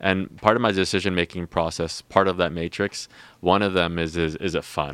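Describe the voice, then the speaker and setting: Over a silent background in a very clean recording, a man with a very deep, low pitch talks at a moderate pace with fairly even intonation, the sound dry and close with no echo. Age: 30s. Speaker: entrepreneur, company founder. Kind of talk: interview. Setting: studio.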